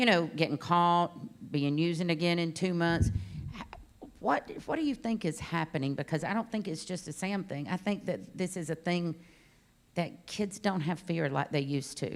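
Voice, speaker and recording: Speaking in a plain, everyday voice, a woman keeps a moderate pace and a fairly low pitch with ordinary pitch variation. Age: 60s. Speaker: panel moderator. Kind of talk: panel interview.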